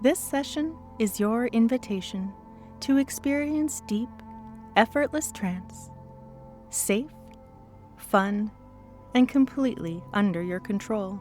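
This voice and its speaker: Over music in the background, a woman with a fairly high pitch talks at a very slow pace, her intonation lively. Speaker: hypnotist. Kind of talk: guided hypnosis session. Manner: slow, rhythmic.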